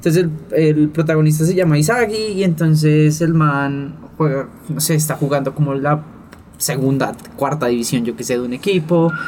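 A man with a plain, everyday voice speaks at a moderate pace, fairly high in pitch, with ordinary pitch variation. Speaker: podcast co-host. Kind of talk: casual chat.

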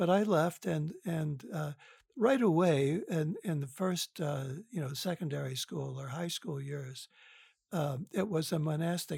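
A plain, everyday voice with an American accent shows ordinary pitch variation. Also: man. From US Midwest (Detroit, Michigan). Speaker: psychotherapist and author. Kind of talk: interview. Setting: remote call.

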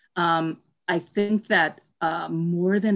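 In a very clean recording with a silent background, a woman speaks at a fairly low pitch with an American accent. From New York. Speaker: entrepreneur. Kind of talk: interview. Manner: hesitant, many fillers.

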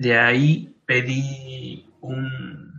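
A man talks at a medium pitch with a Mexican accent. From Mexico. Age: 20s. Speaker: graduate student abroad. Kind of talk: interview. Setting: video call.

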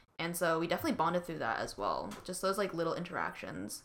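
With a Canadian accent, a woman has a normal speaking voice, a fairly low pitch and fairly even intonation. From Canada, Vancouver BC. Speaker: student podcast co-host. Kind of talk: casual chat.

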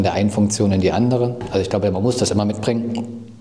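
Talking at a very fast pace, a man with a fairly low pitch keeps a monotone, flat intonation over noticeable background noise and audible room echo. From Thuringia, Germany. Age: 30s. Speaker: software company founder. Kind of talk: casual interview.

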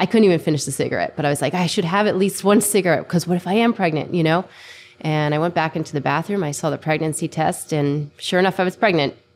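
A woman talks very fast in a fairly low voice with an American accent. Her pitch varies in an ordinary way. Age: 30s. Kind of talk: casual interview chat.

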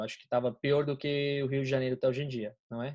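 At a very fast pace, a man delivers his words in a monotone, flat intonation at a medium pitch. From Colombia, raised in Florida, USA. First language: Spanish (speaking Portuguese). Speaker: college student, friend of host. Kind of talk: casual chat.

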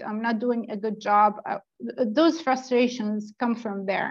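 A woman speaks very slowly with a non-native accent. Her pitch is fairly high and her intonation fairly even. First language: not English. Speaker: product manager. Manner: hesitant, filler-heavy.

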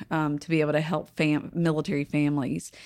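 In a very clean recording with a silent background, a woman speaks with a Southern US accent. Her pitch is very deep and low. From North Carolina, Kings Mountain. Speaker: congressional candidate, veteran. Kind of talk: interview.

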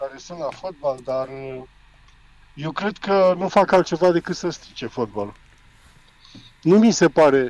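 At a fairly slow pace, a man with a fairly high pitch speaks with lively intonation, long, frequent pauses and big swings in loudness. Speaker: former football referee, pundit. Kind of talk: phone interview on sports radio.

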